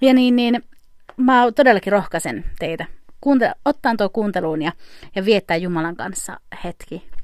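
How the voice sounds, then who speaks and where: With an unremarkable speaking voice, a woman speaks at a fairly slow pace in a medium pitch with lively intonation. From Finland. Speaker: podcast host. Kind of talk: casual interview.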